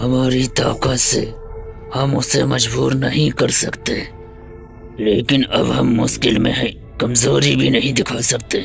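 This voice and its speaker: A man's put-on character voice at a fairly slow pace, with clear music in the background. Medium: fan dub. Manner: authoritative, grave.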